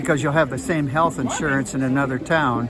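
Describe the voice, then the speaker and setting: Through audible room echo and noticeable background noise, the speaker's pitch varies in an ordinary way. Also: man. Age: 80s+. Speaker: music professor and conductor. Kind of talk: street interview. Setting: outdoors at a farmers market. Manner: hesitant, many fillers.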